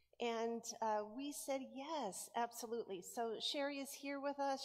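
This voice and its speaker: Her intonation stays largely level. The woman keeps to a moderate speed. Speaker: pastor. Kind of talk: sermon-style welcome and announcements. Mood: warm, welcoming. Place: church.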